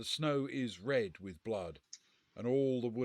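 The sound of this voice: Over a quiet background comes an unforced reading voice with ordinary pitch variation.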